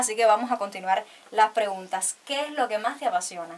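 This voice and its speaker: The pace is fairly quick. A woman speaks, and her pitch shifts in an ordinary way. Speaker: interviewer. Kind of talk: interview questions. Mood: cheerful, smiling. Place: studio.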